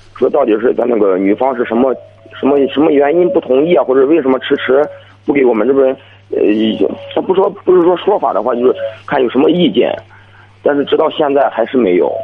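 Speaking at a fairly quick pace, a man with fairly high pitch leaves long, frequent pauses. His loudness stays very even, against noticeable background noise. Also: lively intonation. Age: 20s. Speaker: caller. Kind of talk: call-in advice conversation. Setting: phone call.

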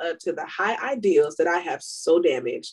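Very wide pitch swings mark this woman's speech. She goes at a fairly quick pace. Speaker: podcast co-host. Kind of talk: casual chat.

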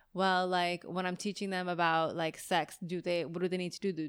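The speaker has an unremarkable speaking voice and a moderate pace. The recording is very clean, with a silent background. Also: woman. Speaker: podcast host and photographer. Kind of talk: casual chat.

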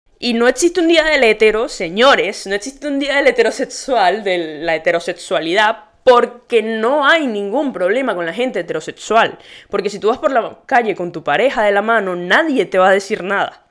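A woman talks at a moderate pace in an animated tone, her fairly high voice making very wide pitch swings with hardly any pauses. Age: 20s. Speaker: podcast host. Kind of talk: casual monologue.

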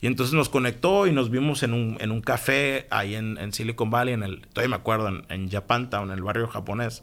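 A man with a normal speaking voice speaks at a medium pitch with ordinary pitch variation. He keeps a fairly quick pace with hardly any pauses. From Mexico, Hermosillo, Sonora. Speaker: entrepreneur. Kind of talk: interview conversation. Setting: studio.

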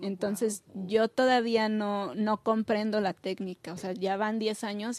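With an ordinary speaking voice, a woman of medium pitch talks at a fairly slow pace with fairly even intonation against a quiet background. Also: dry, close sound with no echo. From Mexico City. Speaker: visual artist. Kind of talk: casual interview.

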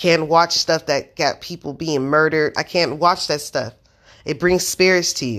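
A woman with very deep, low pitch and ordinary pitch variation, an animated tone and moderate pace, in a very clean recording with a silent background. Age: 30s. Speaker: podcaster. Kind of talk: monologue.

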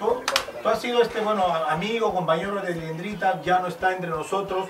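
Amid noticeable background noise and audible room echo, a man speaks at a moderate pace with a high pitch and fairly even intonation. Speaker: interview host and comedian. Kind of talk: casual interview chat.

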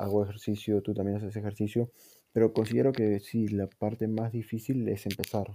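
A man's fairly low, dark, mellow voice at a fairly quick pace, with monotone, flat intonation. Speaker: podcast host. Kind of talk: casual chat.

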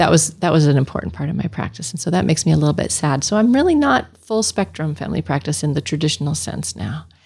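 With noticeable background noise behind her, a woman talks at a very fast pace with hardly any pauses, her very deep, low voice making very wide pitch swings. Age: 50s. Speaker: family physician. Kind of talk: casual interview.

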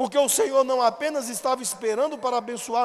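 With a Brazilian accent, this man speaks at an extremely high pitch. His pitch variation is ordinary. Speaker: pastor. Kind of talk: sermon. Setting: church. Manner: formal, expository, didactic; earnest, pastoral, exhorting.

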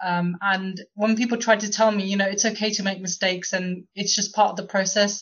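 A woman's somewhat breathy voice at a fairly quick pace, with monotone, flat intonation. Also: medium pitch for a woman. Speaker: podcast host. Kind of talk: casual discussion.

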